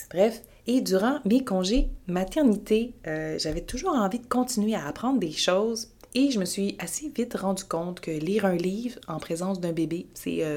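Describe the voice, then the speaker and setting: In a Quebec accent, a woman talks at a moderate pace with lively intonation. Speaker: babywearing instructor. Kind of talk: podcast monologue. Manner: casual, hesitant with fillers.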